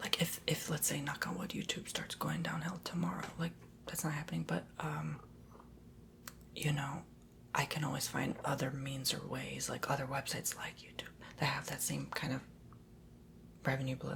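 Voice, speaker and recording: A man whispers with long, frequent pauses. Noticeable background noise is present. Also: moderate pace. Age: 20s. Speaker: ASMR youtuber. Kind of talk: casual chat. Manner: soft-spoken.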